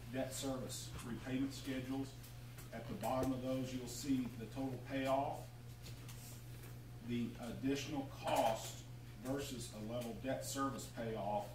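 A man speaks at a fairly slow pace in a flat monotone. His voice carries an audible room echo amid noticeable background noise. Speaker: council presenter. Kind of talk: meeting briefing. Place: hall.

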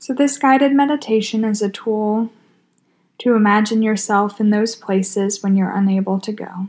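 A woman talks in a calm, soothing tone, somewhat breathy and fairly high-pitched, with fairly even intonation. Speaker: hospital chaplain. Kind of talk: guided meditation. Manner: slow, calm, soothing.

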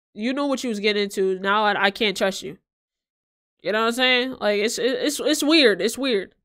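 At a moderate pace, a woman talks with ordinary pitch variation over a quiet background. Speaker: live streamer. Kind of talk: casual reaction stream chat. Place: home room. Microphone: studio mic.

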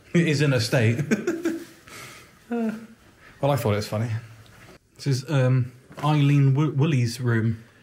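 Against light background noise, a man speaks in a somewhat breathy voice with ordinary pitch variation. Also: moderate pace. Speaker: ghost-hunting vlogger. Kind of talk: casual vlog chat. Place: hall. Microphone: phone near.

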